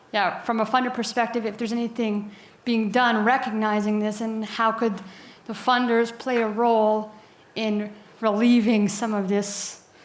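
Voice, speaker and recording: Monotone, flat intonation with audible room echo. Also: woman, fairly high pitch for a woman, moderate pace. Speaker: audience member, data steward. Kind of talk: audience question.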